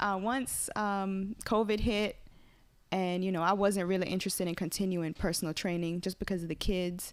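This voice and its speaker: A woman with a Caymanian accent talks at a moderate pace, her medium pitch and intonation fairly even. The recording is very clean with a silent background. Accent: Caribbean (Caymanian). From Cayman Islands. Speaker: smoothie business owner. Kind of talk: casual interview chat.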